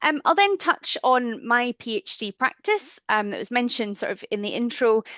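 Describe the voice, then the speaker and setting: In a strong Scottish accent, a woman with a high pitch and a bright, sharp tone speaks at a moderate pace with very wide pitch swings, in a dry, close sound with no echo. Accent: broad Scottish. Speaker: theatre archivist. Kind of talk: webinar presentation.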